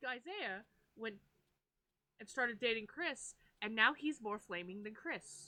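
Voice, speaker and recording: Loud and animated, a woman with a fairly high pitch talks with lively intonation. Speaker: paranormal podcast co-host. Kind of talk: casual chat. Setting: livestream.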